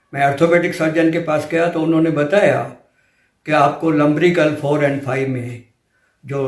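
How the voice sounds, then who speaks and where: There is audible room echo around a man's fairly high voice. He sounds somewhat breathy, and his intonation stays fairly even. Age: 70s. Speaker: patient giving a testimonial. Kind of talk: testimony.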